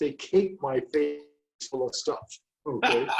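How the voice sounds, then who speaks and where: A man's voice sits at a fairly high pitch. It carries some breathiness. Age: 70s. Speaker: real estate coach and trainer. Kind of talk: interview. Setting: video call. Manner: animated.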